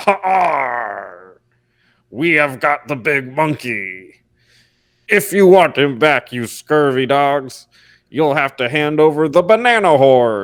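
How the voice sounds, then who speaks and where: A man's put-on character voice, fairly high-pitched, at a fairly slow pace on a very clean recording with a silent background. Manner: menacing, theatrical.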